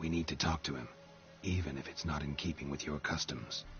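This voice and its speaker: A man does a put-on character voice at a fairly quick pace. Clear background noise can be heard. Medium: machinima. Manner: terse, deadpan.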